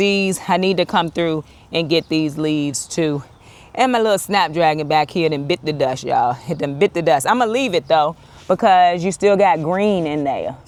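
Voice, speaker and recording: Someone speaks at a moderate pace in a Southern accent. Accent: marked regional (Southern). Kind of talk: casual, chatty. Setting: outdoors, garden.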